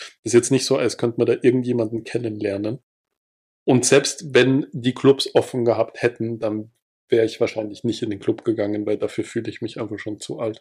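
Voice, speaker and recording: This man's voice has a dark, mellow tone. His intonation stays flat and monotone. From Salzburg, Austria. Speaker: podcast host. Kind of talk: casual chat.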